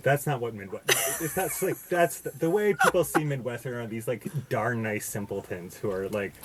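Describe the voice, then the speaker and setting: With an American accent, a man at a medium pitch makes very wide pitch swings. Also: moderate pace. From US, Boston. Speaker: podcast guest. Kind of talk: casual chat. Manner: halting, many fillers and restarts.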